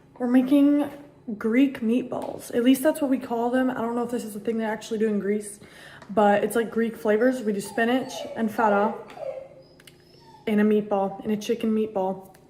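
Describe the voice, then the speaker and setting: Over noticeable background noise, a woman speaks with fairly high pitch and fairly even intonation, taking long, frequent pauses. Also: moderate pace. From US (born in Costa Rica, moved as a small child). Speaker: vlogger. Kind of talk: casual chat.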